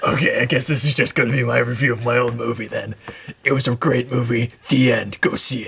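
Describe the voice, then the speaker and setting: A raspy, put-on character voice with a deadpan tone at a fairly quick pace. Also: man, medium pitch for a man. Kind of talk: casual, joking. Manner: deadpan, dry, matter-of-fact.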